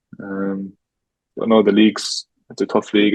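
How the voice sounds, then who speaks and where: In an Irish accent, a man speaks at a fairly low pitch with monotone, flat intonation, in a dry, close sound with no echo. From Ireland. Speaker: professional footballer. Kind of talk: casual interview. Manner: fast.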